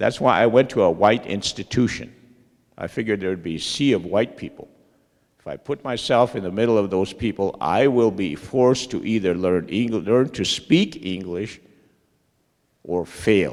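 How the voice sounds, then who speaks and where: Speaking with a Lakota accent, a man uses a fairly low pitch, ordinary pitch variation and a moderate pace, with big swings in loudness. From Lakota community, US Great Plains. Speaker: Lakota language teacher. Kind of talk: panel talk.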